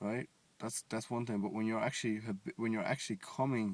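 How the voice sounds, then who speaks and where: With fairly even intonation, a man speaks at a medium pitch in a dry, close sound with no echo. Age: 20s. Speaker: vlogger. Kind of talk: casual monologue. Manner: halting.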